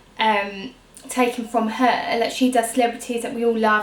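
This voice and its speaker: A woman with a southern English accent speaks at a moderate pace in a fairly high pitch. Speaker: beauty YouTuber. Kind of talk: casual vlog talk. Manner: hesitant, many fillers.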